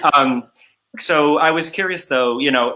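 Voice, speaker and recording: A man with a slight Midwestern accent speaks in a bright, sharp tone with ordinary pitch variation, recorded very cleanly against a silent background. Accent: slight Midwest drawl. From Chicago. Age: 40s. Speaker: livestream festival host and songwriter. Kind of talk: casual interview chat.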